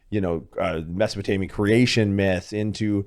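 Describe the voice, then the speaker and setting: In an ordinary speaking voice, a man with a fairly low pitch talks at a moderate pace on a very clean recording with a silent background. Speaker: podcast host, doctor. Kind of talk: casual podcast conversation.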